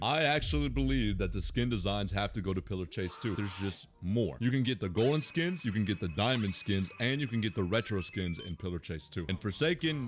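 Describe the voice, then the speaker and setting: A man talks at a fairly quick pace with hardly any pauses, his fairly low voice showing vocal fry and very wide pitch swings. The recording is very clean, with a silent background. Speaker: gaming youtuber. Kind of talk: unscripted video commentary. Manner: stutter; casual, conversational.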